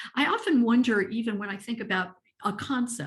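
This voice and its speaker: Somewhat breathy and at a medium pitch, a woman talks at a fairly quick pace with ordinary pitch variation. She has an American accent. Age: 60s. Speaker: ageism advocate. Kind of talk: webinar presentation.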